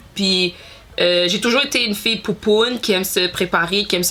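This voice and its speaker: Amid noticeable background noise, a woman speaks at a fairly quick pace in a medium pitch with ordinary pitch variation. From Montreal, Quebec. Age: 30s. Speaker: beauty youtuber. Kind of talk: casual vlog chat. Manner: hesitant, many fillers and code-switches.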